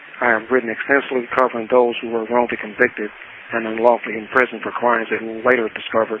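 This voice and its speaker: With an American accent, a man speaks at a very fast pace and a medium pitch, over noticeable background noise. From Detroit, Michigan. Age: 60s. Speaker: prisoner and writer. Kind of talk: interview.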